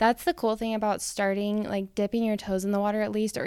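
On a very clean recording with a silent background, a woman's dark, mellow voice sits at medium pitch with fairly even intonation. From Rexburg, Idaho. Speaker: podcast host. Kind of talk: casual interview chat.

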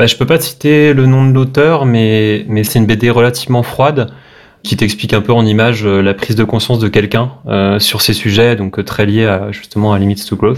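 Keeping a very even loudness, a man talks at a moderate pace and medium pitch with ordinary pitch variation. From Brittany, France (Brest). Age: 30s. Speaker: web developer. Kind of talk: casual interview. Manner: hesitant, many repetitions.

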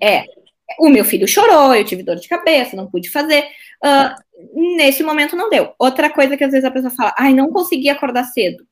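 The speaker goes at a fairly quick pace, with very wide swings in pitch. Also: woman, high pitch for a woman. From southern Brazil, Porto Alegre. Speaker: court officer and exam-prep teacher. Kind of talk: casual interview chat.

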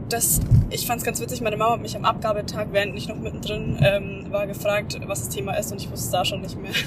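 A woman talks at a very fast pace. Noticeable background noise and audible room echo are present. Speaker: podcast host. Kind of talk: casual chat. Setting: in a car on the motorway. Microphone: microphone mistake, poor audio quality.

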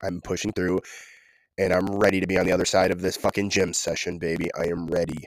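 Animated and playful, a man races along at a very fast pace in a very deep, low pitch. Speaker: podcaster. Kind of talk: solo monologue, casual rambling. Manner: animated, rambling, playful.

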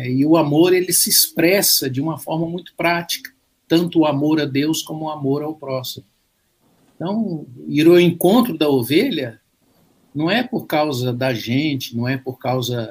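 At a moderate pace, a man with a fairly high pitch sounds somewhat breathy, showing ordinary pitch variation and big swings in loudness. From Brazil, Minas Gerais (Belo Horizonte). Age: 60s. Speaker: pastor. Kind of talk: casual interview and prayer. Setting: video call.

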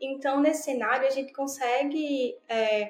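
Pitched high, a woman talks with fairly even intonation. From Brazil, Pernambuco. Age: 20s. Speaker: design operations specialist. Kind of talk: interview.

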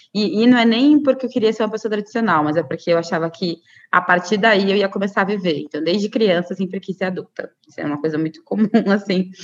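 Ordinary pitch variation runs through the words as they come out at a fairly quick speed. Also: woman. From Brazil, Cuiabá, Mato Grosso. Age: 30s. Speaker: media activist, co-founder of a media collective. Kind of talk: interview. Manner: hesitant, many fillers.

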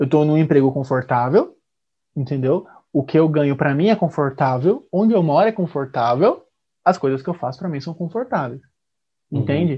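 A fairly quick talker with a somewhat breathy sound and ordinary pitch variation, broken up by long, frequent pauses. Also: man, fairly high pitch for a man. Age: 20s. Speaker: podcast host. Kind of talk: casual chat.

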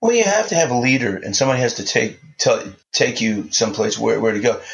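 A man talks at a very fast pace, somewhat breathy and medium in pitch. His voice makes very wide pitch swings. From New Orleans, Louisiana. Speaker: songwriter. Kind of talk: interview. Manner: halting, many fillers and repetitions.

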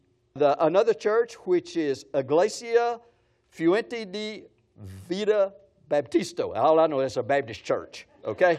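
A man's high-pitched voice at a fairly slow pace, with lively intonation and long, frequent pauses. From West Texas. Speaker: pastor. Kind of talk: sermon. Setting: church gathering with audience. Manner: animated.

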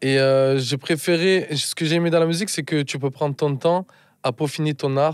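In an ordinary speaking voice, a man talks at a moderate pace with a fairly high pitch and fairly even intonation. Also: very clean recording, silent background. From France, Marseille. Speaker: musician and producer. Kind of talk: casual interview chat. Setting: studio.

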